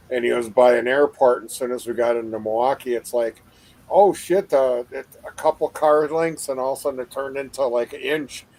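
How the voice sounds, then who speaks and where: A man at medium pitch with an Upper Midwest accent, fairly quick pace, ordinary pitch variation and big swings in loudness, in a dry, close sound with no echo. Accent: Upper Midwest American. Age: 60s. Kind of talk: casual chat. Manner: halting.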